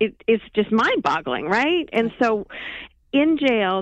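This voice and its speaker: In a plain, everyday voice, a woman with a fairly high pitch speaks at a moderate pace with lively intonation. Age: 50s. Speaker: documentary filmmaker. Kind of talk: interview.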